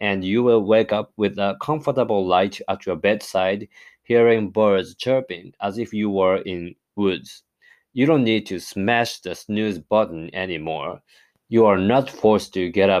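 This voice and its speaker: A man speaks with an ordinary speaking voice, fairly low in pitch, at a fairly slow pace. His pitch variation is ordinary, and the background is quiet. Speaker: podcast host. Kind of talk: solo podcast monologue, casual. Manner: friendly, upbeat.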